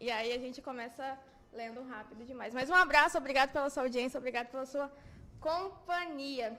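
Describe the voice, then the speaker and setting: Her voice is high and her intonation fairly even as this woman speaks at a fairly quick pace. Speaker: church program host. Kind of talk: bible study discussion. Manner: fast.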